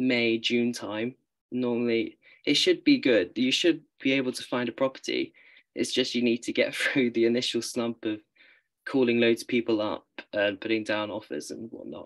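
Medium-pitched male speech with a British accent, ordinary pitch variation and a moderate pace, over a quiet background. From UK. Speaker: university student; panelist. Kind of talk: panel discussion. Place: home room. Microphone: video call.

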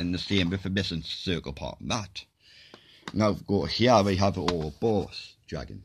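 A man's very deep, low voice with vocal fry and ordinary pitch variation, at a fairly slow pace over light background noise. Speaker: video blogger. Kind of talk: casual monologue explaining theories; casual vlog explanation. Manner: rambling, hesitant with fillers. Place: home room. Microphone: phone near.

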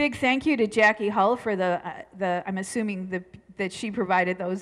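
A quiet background surrounds this woman's voice. She keeps a moderate pace with ordinary pitch variation. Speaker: pastor giving announcements. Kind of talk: church announcements. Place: church. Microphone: headset.

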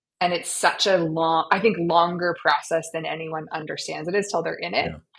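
Over a quiet background, a woman with a fairly low pitch speaks at a moderate pace. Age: 40s. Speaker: startup founder and CEO; podcast guest. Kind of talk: interview. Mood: warm, reflective. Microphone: video call.

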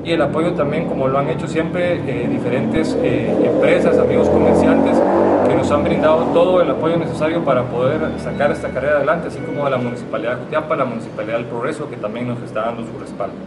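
Speech at a very fast pace with ordinary pitch variation comes through over loud background noise. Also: man. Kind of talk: press conference statement. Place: meeting room.

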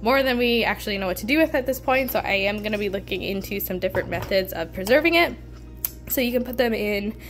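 A woman talks at a fairly quick pace. Faint music plays in the background. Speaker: homesteading vlogger. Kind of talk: casual vlog chat. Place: kitchen.

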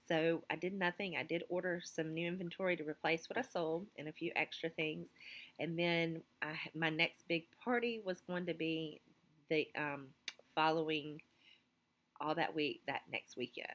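A woman with an American accent, a fairly low pitch and fairly even intonation. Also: moderate pace. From US South. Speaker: teacher and clothing retailer vlogger. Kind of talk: casual vlog talk to camera. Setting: school office. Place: classroom. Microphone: phone near.

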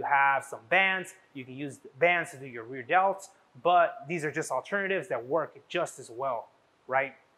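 A man's bright, sharp voice with ordinary pitch variation. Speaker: fitness trainer. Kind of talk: workout instruction. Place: gym.

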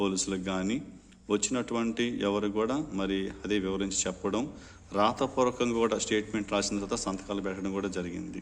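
This is a plain, everyday voice whose pitch varies in an ordinary way. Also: man. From India, Nellore district, Andhra Pradesh. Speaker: pastor. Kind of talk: formal video statement. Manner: formal.

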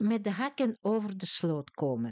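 A woman talks at a fairly slow pace with very wide pitch swings. The sound is dry and close with no echo. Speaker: language teacher. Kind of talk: tutorial.

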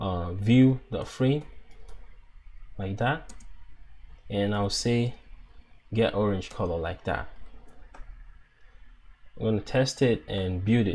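This voice has a dark, mellow tone, is somewhat breathy, and moves at a very slow pace with ordinary pitch variation and long, frequent pauses. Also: man, fairly low pitch for a man. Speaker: app developer. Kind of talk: coding tutorial narration.

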